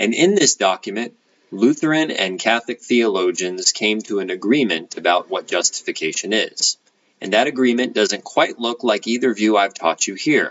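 With a normal speaking voice, a man talks at medium pitch and moderate pace, his intonation lively. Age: 30s. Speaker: college professor. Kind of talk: lecture. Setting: home.

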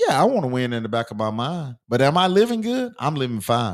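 An unremarkable speaking voice belongs to this man, medium in pitch with ordinary pitch variation. He moves at a fairly quick pace. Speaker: sports talk host. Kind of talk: casual sports talk banter. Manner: casual, joking.

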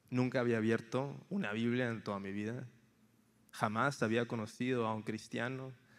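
The pace is moderate. Intonation remains fairly even. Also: man, medium pitch for a man. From Mexico, Tampico, Tamaulipas. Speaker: campus missionary. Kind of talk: sermon.

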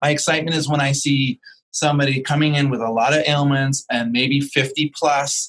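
The sound is dry and close with no echo as a man with a plain, everyday voice and a fairly high pitch speaks at a moderate pace. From Vancouver, Canada. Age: 50s. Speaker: yoga teacher. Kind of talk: interview.

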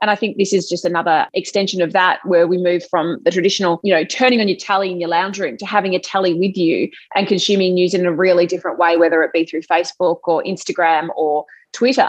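A woman with an Australian accent at a very fast pace. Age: 30s. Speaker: TV news presenter. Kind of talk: interview.

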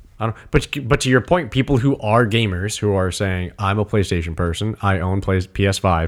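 In a very clean recording with a silent background, a man uses an ordinary speaking voice, fairly low in pitch, at a moderate pace with ordinary pitch variation. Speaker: podcast co-host. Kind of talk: casual chat.

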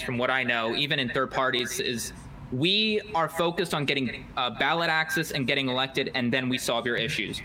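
Over noticeable background noise, a man speaks at a fairly quick pace with a fairly high pitch. His loudness stays very even and his pitch varies in an ordinary way. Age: young (19). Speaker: college student and political organizer. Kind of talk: interview. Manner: halting, repeats words. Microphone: hears own echo.

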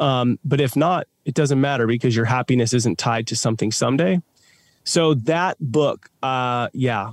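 Very even in loudness, a man's unremarkable speaking voice moves at a moderate pace with medium pitch and ordinary pitch variation. The recording is very clean, with a silent background and a dry, close sound with no echo. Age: 30s. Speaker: business owner and father. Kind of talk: interview.

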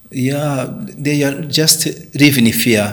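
Here a man speaks at a medium pitch. His voice carries audible room echo. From Rwanda, Southern Province. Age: 50s. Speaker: pastor. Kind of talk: interview. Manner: halting.

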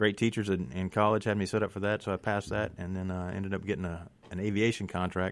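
A man with a Southern US accent, fairly low pitch, fairly even intonation and a fairly quick pace. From US South (Mississippi). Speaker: political candidate and Marine veteran. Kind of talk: radio interview. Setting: studio. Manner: resolute.

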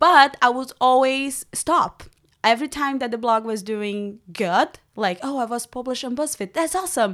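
In a Portuguese accent, a woman with a high voice speaks in an animated tone with lively intonation. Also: moderate pace. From Brazil, Rio de Janeiro. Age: 20s. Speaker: women's mentor. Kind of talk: interview. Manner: animated, laughs often.

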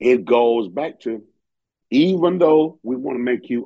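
A man with a Southern US accent talks at a fairly slow pace and a medium pitch. His tone is dark and mellow, with lively intonation. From rural Georgia.

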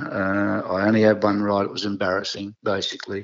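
The speaker has an Australian accent and keeps a moderate pace. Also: man. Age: 70s. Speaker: retired jockey. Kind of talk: interview, storytelling. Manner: halting, many fillers and repetitions.

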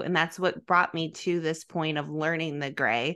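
Over a quiet background, a woman with an American accent speaks at a fairly low pitch and a moderate pace, her tone bright and sharp. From US Midwest. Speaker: fitness podcast host. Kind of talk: casual chat. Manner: soft-spoken.

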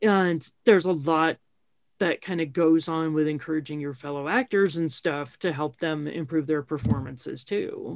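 Her voice sits very deep and low for a woman. Its pitch moves in an ordinary way. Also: moderate pace. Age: 50s. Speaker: career coach and podcast host. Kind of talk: casual interview chat. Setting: recorded in a kitchen.

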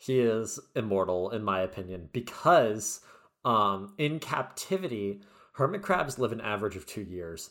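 A man speaks in a normal speaking voice, fairly low-pitched, at a moderate pace with lively intonation. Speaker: podcast co-host and medical student. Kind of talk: casual chat. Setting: video call.

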